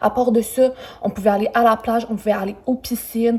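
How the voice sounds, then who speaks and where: A woman's unremarkable speaking voice, fairly high in pitch, at a moderate pace with ordinary pitch variation. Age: 20s. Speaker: travel YouTuber. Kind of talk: hotel review vlog. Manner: casual, with many fillers.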